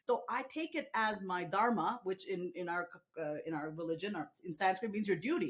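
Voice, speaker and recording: The speaker is a woman with an American accent. Her voice sounds somewhat breathy. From New York, US. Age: 40s. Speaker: author and coach. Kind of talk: interview conversation. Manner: fast; high energy.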